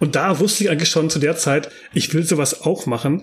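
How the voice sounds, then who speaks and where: Somewhat breathy, the voice races along at a very fast pace. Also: man. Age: 40s. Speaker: game developer and architectural visualizer. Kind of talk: interview. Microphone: poor microphone quality.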